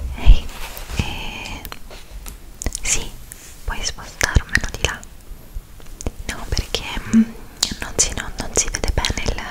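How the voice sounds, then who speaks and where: A woman whispers at a very slow pace, with long pauses coming often. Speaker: ASMR roleplay host. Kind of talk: ASMR roleplay. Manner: whispered, soft-spoken. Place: home room. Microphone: studio mic.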